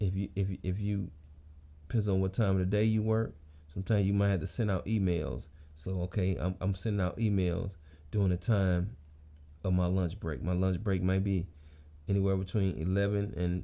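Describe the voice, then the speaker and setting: A man with a very deep, low pitch and a dark, mellow tone speaks at a moderate pace with ordinary pitch variation. His loudness stays very even, broken by long, frequent pauses. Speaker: motivational vlogger. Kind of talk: casual monologue. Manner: halting, repeats words.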